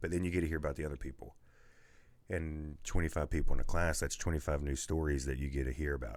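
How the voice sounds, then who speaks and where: Talking at a very fast pace with fairly even intonation, a man with a West Virginia accent has a very deep, low pitch. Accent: Appalachian West Virginia. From Man, West Virginia. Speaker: podcast host, salesman. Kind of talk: casual podcast interview answer.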